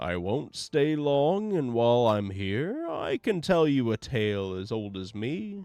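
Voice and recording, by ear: A put-on character voice sounds shaky and swings very widely in pitch. It moves at a fairly slow pace against a quiet background. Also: man.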